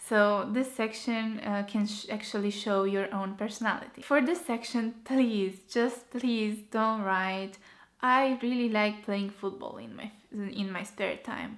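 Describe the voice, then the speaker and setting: With a Romanian accent, a woman speaks at a fairly slow pace with ordinary pitch variation. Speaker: architecture graduate vlogger. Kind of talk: tutorial.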